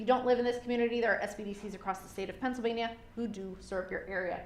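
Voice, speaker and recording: Speaking at a very fast pace with ordinary pitch variation, the voice comes through audible room echo and noticeable background noise. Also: woman. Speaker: small business consultant. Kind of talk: lecture.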